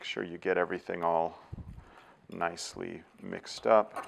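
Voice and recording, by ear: A man speaks with vocal fry and a fairly bright tone. He has a Californian accent. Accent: Californian American.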